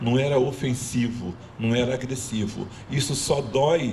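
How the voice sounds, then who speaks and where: Over noticeable background noise and audible room echo, a man talks at a fairly slow pace with a medium pitch. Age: 60s. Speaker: community speaker. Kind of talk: panel talk.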